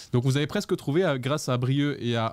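A man's animated voice at a moderate pace, in a dry sound with no echo. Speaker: livestream show host. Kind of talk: casual live chat show. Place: studio. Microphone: studio mic.

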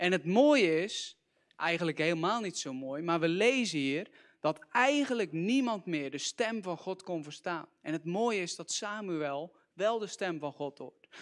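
The tone is animated, with lively intonation. The background is quiet. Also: man, high pitch for a man. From Netherlands, near Gorinchem; Netherlands. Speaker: youth preacher. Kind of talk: sermon. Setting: church. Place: church. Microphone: handheld.

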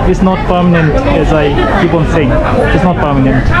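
With crowd noise in the background, a woman talks at a moderate pace. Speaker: travel vlogger. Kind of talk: casual vlog chat. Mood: excited, playful. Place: market. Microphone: phone near.

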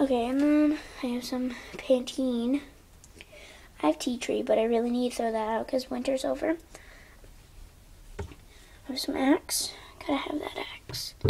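A woman speaks in a high pitch at a fairly slow pace, with fairly even intonation and long, frequent pauses. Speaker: home vlogger. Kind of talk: casual vlog chat tour. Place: bathroom. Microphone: phone near.

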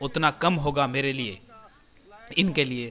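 A man talks with ordinary pitch variation. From India. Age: 20s. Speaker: YouTuber. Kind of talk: live commentary. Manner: animated.

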